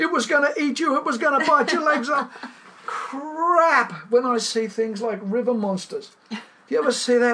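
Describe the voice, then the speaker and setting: A raised, projected voice with an Australian accent carries lively intonation. Noticeable background noise sits behind it. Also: man. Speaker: fly fisherman and writer. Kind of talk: interview answer. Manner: emphatic, indignant.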